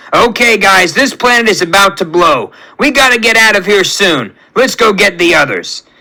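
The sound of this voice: Putting on a character voice, a man speaks at a moderate pace with high pitch, vocal fry, lively intonation and a bright, sharp tone.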